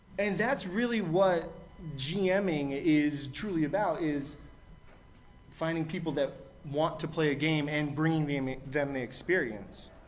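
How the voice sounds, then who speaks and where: Audible room echo surrounds a man who speaks fairly slowly with a fairly high pitch and ordinary pitch variation. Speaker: game master at a convention panel. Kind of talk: panel discussion. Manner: loud.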